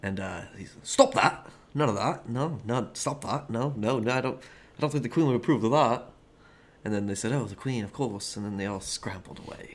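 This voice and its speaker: A man talks fairly quickly in a normal speaking voice, with ordinary pitch variation. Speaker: podcast co-host. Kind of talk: casual chat, joking.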